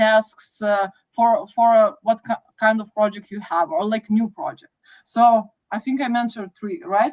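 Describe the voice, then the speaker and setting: A woman with a Lithuanian accent speaks at a moderate pace in a fairly high, somewhat breathy voice. Her pitch varies in an ordinary way, and the sound is dry and close with no echo. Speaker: project manager. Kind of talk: podcast interview.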